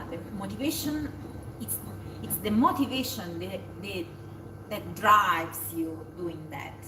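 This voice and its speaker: The speaker has a strong Italian accent and talks at a fairly slow pace with long, frequent pauses and big swings in loudness, amid noticeable background noise and audible room echo. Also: woman. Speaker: communicator. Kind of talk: casual chat.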